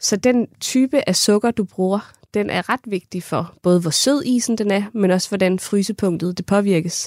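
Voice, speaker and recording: A woman speaks in a normal speaking voice at medium pitch with ordinary pitch variation and hardly any pauses. The recording is very clean and dry and close, with no echo and a silent background. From Funen, Denmark (Kerteminde). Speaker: ice cream maker and food scientist. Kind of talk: interview. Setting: studio.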